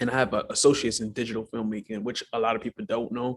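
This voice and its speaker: The speaker is a man. He talks in a New York accent. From Brooklyn, New York (early childhood in Guyana). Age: 20s. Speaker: filmmaker and mental health advocate. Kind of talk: casual interview.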